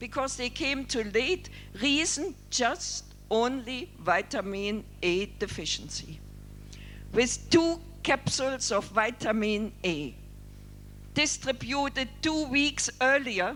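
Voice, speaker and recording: Very slow speech with music in the background. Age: 60s. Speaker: doctor and leprosy worker. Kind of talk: keynote speech.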